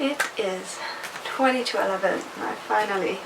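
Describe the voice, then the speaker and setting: There is audible room echo and noticeable background noise. Through it, a woman speaks in a fairly high voice with ordinary pitch variation. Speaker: book vlogger. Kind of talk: casual vlog. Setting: at home. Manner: quiet.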